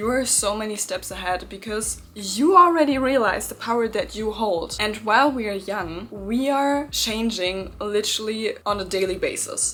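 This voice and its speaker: With hardly any pauses, a woman speaks at a moderate pace in a fairly high pitch with ordinary pitch variation against noticeable background noise. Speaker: manifestation youtuber. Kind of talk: pep talk. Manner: loud.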